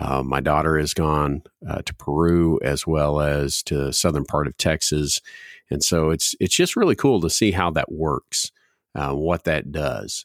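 Speech at a fairly slow pace with fairly even intonation comes through a very clean recording with a silent background and a dry, close sound with no echo. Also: man, very deep, low pitch for a man. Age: 40s. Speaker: student ministry director, podcast host. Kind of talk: casual chat.

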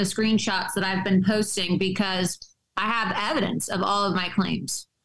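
A woman talks with a plain, everyday voice. Her intonation is fairly even, her pace moderate. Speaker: journalist and political commentator. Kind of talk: political interview.

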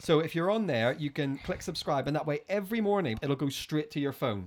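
Speaking fairly quickly, a man with a Northern Irish accent has a fairly high voice. His intonation is lively. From Northern Ireland. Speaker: podcast host. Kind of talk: casual chat.

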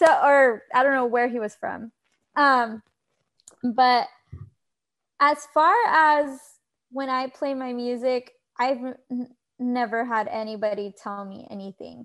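With an American accent, a high-pitched woman speaks with long, frequent pauses, big swings in loudness, and ordinary pitch variation. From Texas, Rio Grande Valley. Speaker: sports fan guest. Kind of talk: casual chat. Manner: animated.

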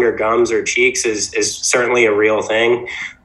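Noticeable background noise under a fairly slow delivery. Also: man. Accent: American. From Virginia Beach, US. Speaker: entrepreneur, toothpaste brand founder. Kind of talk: casual interview.

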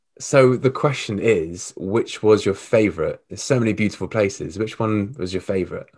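This man has an ordinary speaking voice, fairly low in pitch, with ordinary pitch variation and a moderate pace, captured in a very clean recording with a silent background. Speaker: podcast host. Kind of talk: casual interview chat.

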